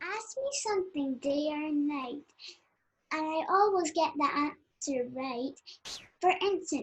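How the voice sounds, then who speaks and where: Someone speaks in a high-pitched, put-on character voice at a fairly slow pace. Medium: stage play.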